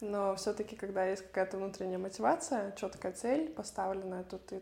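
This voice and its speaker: Dark, mellow tone from a woman at medium pitch. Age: 20s. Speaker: tennis coach and academy founder. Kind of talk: interview.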